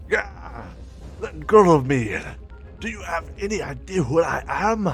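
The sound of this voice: A man uses a put-on character voice at a fairly high pitch, with vocal fry and a fairly bright tone. He talks at a fairly slow pace with lively intonation while faint music plays in the background.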